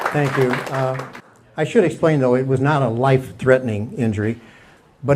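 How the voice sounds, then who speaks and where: A man with an American accent speaks at a fairly quick pace, medium in pitch with ordinary pitch variation. Noticeable background noise and audible room echo fill the recording. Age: 70s. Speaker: stand-up comedian. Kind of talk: stand-up. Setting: stage with audience. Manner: halting.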